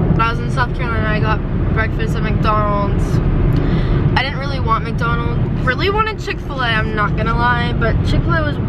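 A woman talks at a fairly quick pace. The sound is dry with no echo, but loud background noise is present. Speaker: vlogger on a solo road trip. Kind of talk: casual vlog chat. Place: car. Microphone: phone near.

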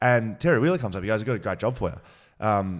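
A man with an Australian accent speaks in a fairly low pitch. The background is quiet. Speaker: podcast host. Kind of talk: casual interview. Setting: studio. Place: studio. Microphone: studio mic.

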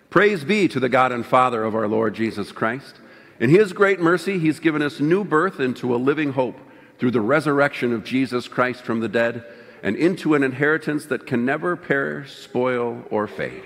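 Lively intonation from a man, moderate pace. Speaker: minister leading liturgy. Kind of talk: liturgical reading. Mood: solemn, festive Easter. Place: church.

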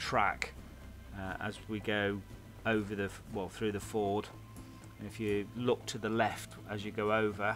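A man's fairly low voice at a moderate pace, fairly even in intonation, over clear music in the background. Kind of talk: casual commentary. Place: open country. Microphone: helmet.

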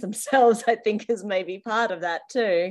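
A plain, everyday voice from a woman, fairly high in pitch, at a fairly slow pace against a quiet background. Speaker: interviewer. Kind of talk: interview. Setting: video call.

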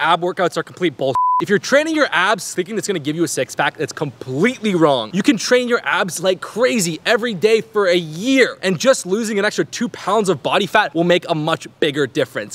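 His pitch moves in very wide swings. The man keeps to a moderate pace. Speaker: fitness creator. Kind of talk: energetic fitness advice short. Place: garden.

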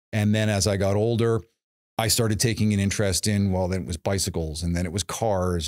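Very fast speech with fairly even intonation against a quiet background. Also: man. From Toronto, Canada. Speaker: college professor and automotive program coordinator. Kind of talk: interview conversation. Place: studio. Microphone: studio mic.

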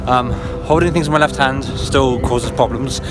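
A man speaks at a moderate pace over clear background music, the sound dry with no echo. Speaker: vlogger. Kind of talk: casual vlog chat. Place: street. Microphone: phone near.

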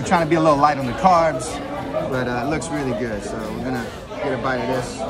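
Crowd noise fills the background. A man talks at a fairly quick pace. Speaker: food vlogger. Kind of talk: casual food review chat. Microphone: phone near.

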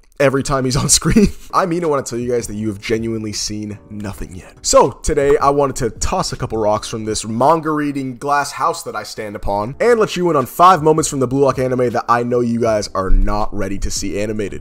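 Over faint music in the background, a man talks at a fairly quick pace with hardly any pauses. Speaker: anime commentary youtuber. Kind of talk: casual vlog chat. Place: home room. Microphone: studio mic.

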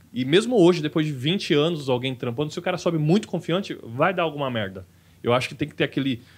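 A man speaks at a very fast pace with lively intonation. His voice is somewhat breathy and fairly high in pitch. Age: 30s. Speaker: stand-up comedian; podcast guest, stand-up comedian. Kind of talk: casual chat. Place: studio. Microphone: studio mic.

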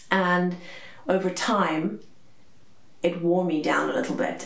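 The room echo is audible. Pitch varies in an ordinary way. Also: woman. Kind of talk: personal testimony vlog. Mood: calm, reflective, slightly somber. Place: home room.

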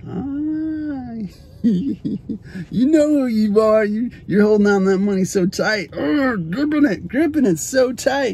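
Using an American accent and lively intonation, a man with a high pitch speaks at a very slow pace in a dry sound with no echo. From Arizona, USA. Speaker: spoken word poet. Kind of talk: casual talk to camera. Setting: in a car. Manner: upbeat, friendly. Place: car. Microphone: phone near.

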